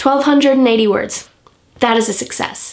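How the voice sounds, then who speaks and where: A woman speaks at a moderate pace. Noticeable noise fills the background. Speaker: writer, author vlogger. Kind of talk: casual talk to camera. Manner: low-key, chill.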